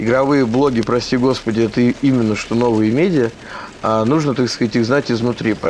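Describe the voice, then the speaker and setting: With noticeable background noise behind him, a man speaks at a moderate pace and medium pitch, his loudness very even. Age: 30s. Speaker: game journalist and blogger. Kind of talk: casual chat. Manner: animated.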